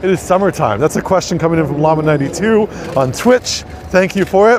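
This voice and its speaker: Lively intonation and a fairly quick pace mark this speaker with an American accent, heard over noticeable background noise. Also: man. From US Midwest, Minnesota. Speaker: tour guide. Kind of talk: live-streamed walking tour. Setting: outdoors on city streets. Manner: casual, chatty with filler words.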